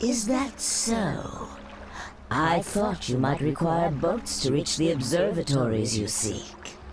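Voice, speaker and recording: Spoken at a fairly slow pace, a put-on character voice at middle pitch comes through over clear background noise. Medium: short film. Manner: smooth, persuasive.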